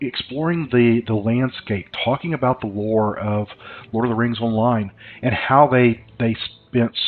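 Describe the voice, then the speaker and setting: A man speaks with a slight Southern US accent. His pitch is medium. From US South. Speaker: gaming YouTuber. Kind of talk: let's play commentary. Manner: hesitant, many fillers.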